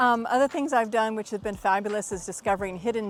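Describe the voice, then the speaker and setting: An enthusiastic woman with an American accent and a medium pitch. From Texas, United States. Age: 50s. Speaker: retired veteran, language student. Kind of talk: testimonial talk to camera.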